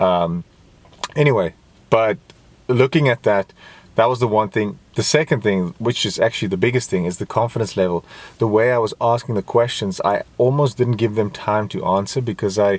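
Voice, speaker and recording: With a non-native accent, a man talks at a moderate pace and a medium pitch with ordinary pitch variation, the sound dry and close with no echo. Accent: non-native English accent, he calls it fine. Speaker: fitness vlogger. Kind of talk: casual vlog monologue. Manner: halting, searching for words.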